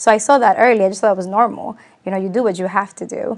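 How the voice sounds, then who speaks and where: With a Spanish accent, a woman speaks in fairly even intonation. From Latin America, Spanish-speaking, moved to US as child. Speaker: community leader, businesswoman. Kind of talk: interview on community TV.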